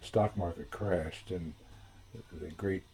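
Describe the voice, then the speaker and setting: Somewhat breathy with a dark, mellow tone, a man with an American accent speaks at a very deep, low pitch. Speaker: family historian. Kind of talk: storytelling. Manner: halting.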